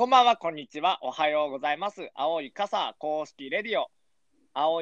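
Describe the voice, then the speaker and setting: The pitch of this man's voice is fairly high. He talks at a moderate pace. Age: 20s. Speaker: podcast host. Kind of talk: casual chat. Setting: studio.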